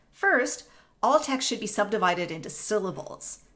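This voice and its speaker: A woman's fairly high, bright, sharp voice at a fairly quick pace, with audible room echo. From Canada, Northern Ontario. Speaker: music professor. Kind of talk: lecture. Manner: explanatory, measured.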